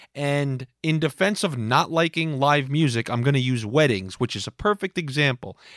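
A man talks at a moderate pace with hardly any pauses, his tone animated and his intonation lively. The sound is dry and close, with no echo. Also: fairly high pitch for a man. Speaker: podcast host. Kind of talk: comedic monologue. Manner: loud.

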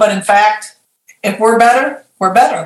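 In a normal speaking voice, a woman talks with fairly high pitch and fairly even intonation. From Michigan, Lansing. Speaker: consultant and life coach. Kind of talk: interview.

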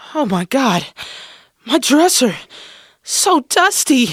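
A man puts on a character voice, pitched extremely high and swinging widely, at a slow pace. The tone is fairly bright with a slightly husky edge, in a dry, close sound with no echo.

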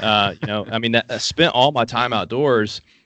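A man with an Appalachian accent, medium in pitch, bright and sharp in tone, at a fairly quick pace. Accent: Appalachian Southern US. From US South, Appalachian Kentucky. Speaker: hunting app entrepreneur. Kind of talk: casual interview.

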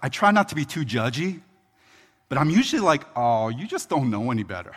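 A man with a normal speaking voice talks at a moderate pace, his fairly high pitch moving in lively intonation. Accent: American. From Philadelphia, US. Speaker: pastor. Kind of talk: sermon. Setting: church.

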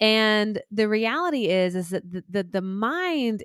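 A woman with a Southern US accent, in dry, close sound with no echo, on a very clean recording with a silent background. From US South. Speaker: life coach. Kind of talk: interview conversation.

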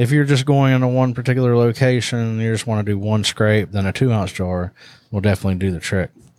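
A man with a Southern US accent speaks at a very fast pace with ordinary pitch variation. The recording is very clean, with a silent background. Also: medium pitch for a man. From US South. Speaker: hunting products podcast host. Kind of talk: casual chat.

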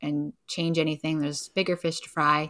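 A woman with a Canadian accent speaks at a fairly quick pace in an ordinary speaking voice, fairly low in pitch. The recording is very clean, with a silent background. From Vancouver, Canada. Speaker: local food distribution business owner. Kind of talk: casual interview.

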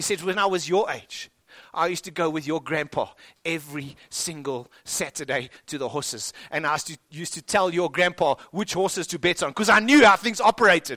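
On a very clean, dry, close recording with a silent background and no echo, a man speaks at a fairly quick pace with a high pitch, a bright, sharp tone and ordinary pitch variation. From South Africa. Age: 40s. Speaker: pastor. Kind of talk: sermon.

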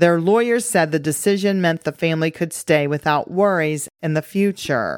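Speaking at a moderate pace and a fairly low pitch, a woman has an unremarkable speaking voice with ordinary pitch variation, in a dry, close sound with no echo. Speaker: podcast host. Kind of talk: scripted-style political commentary podcast. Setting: studio with new microphone setup. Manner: bantering, joking.

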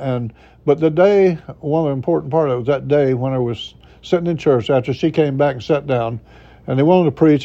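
A man with a Florida panhandle accent and a fairly high pitch speaks at a moderate pace with ordinary pitch variation. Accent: Southern US (Florida panhandle). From Florida panhandle, US South. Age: 70s. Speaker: retired pastor. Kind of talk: interview, personal testimony. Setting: studio.

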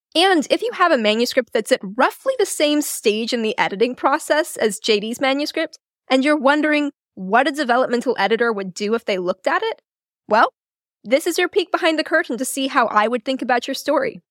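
Animated in tone, a woman speaks at a fairly quick pace with a high pitch and very wide pitch swings. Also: dry, close sound with no echo. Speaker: developmental editor, podcast host. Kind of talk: solo podcast tutorial. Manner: fast.

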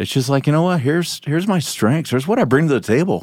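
The recording is very clean, and the background is silent. An unremarkable speaking voice talks at a fairly quick pace. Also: man. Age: 40s. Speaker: retreat participant sharing testimony. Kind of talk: testimony.

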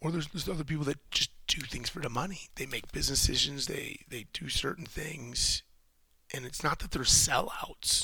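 A man speaks with a bright, sharp tone. His pitch sits fairly high. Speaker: solo podcast host. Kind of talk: casual monologue. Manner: conversational, repetitive.

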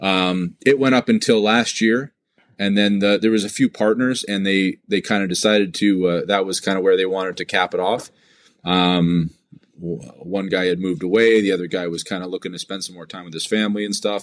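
A man's normal speaking voice in a Canadian accent, fairly low-pitched and fairly quick, with big swings in loudness. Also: fairly even intonation. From southern Ontario, Canada (Drayton). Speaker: motorcycle event organizer. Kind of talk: casual interview. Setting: remote call.

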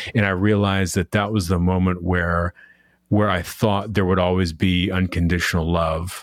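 A man's very deep, low voice, monotone and flat, with very even loudness at a moderate pace, on a very clean recording with a silent background. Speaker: podcast host. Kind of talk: casual interview.

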